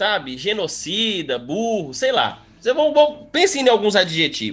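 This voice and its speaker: A man's high-pitched voice in a Minas Gerais accent, full of very wide pitch swings. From Minas Gerais, Brazil. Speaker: history teacher. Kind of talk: casual chat.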